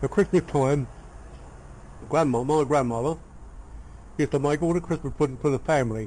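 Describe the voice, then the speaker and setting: A man with a south London accent speaks fairly quickly at a fairly high pitch, in a dark, mellow tone. His loudness stays very even, his pitch varies in an ordinary way, and he takes long, frequent pauses. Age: 80s+. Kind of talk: family reminiscence told in conversation. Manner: casual, conversational.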